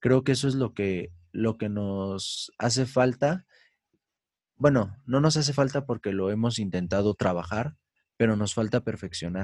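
With a Mexican accent, a man talks at a fairly slow pace and medium pitch with ordinary pitch variation. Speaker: musician, band leader. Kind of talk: casual chat.

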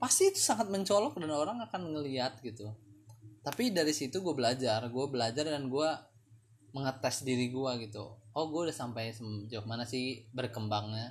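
Somewhat breathy speech at a moderate pace carries lively intonation. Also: man, medium pitch for a man. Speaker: solo podcast host. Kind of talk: casual monologue. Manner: halting.

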